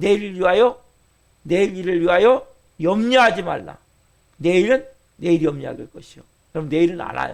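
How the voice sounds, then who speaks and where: Speaking at a moderate pace, a man with a high pitch and ordinary pitch variation shows big swings in loudness and long, frequent pauses. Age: 50s. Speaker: pastor. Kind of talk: sermon.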